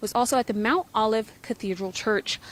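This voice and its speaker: A woman speaks in an unremarkable speaking voice. Her medium pitch stays fairly even. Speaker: TV news reporter. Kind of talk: live TV news report. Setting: outdoors.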